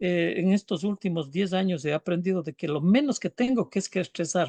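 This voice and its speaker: A man's high-pitched voice comes through dry and close, with no echo at all. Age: 60s. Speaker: business speaker. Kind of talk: casual chat. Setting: live stream.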